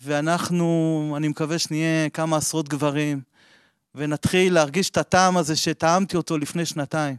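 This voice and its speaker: A man speaks at a moderate pace with a fairly high pitch and monotone, flat intonation. The sound is dry and close with no echo, over a quiet background. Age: 40s. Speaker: member of a Kabbalah study group. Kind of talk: personal testimony.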